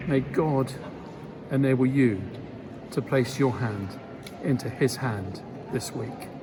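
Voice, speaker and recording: A man speaks at a very slow pace with a solemn tone, a medium pitch and ordinary pitch variation, leaving long, frequent pauses amid audible room echo and noticeable background noise. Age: 60s. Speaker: bishop. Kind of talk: spoken reflection. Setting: cathedral. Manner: measured, solemn.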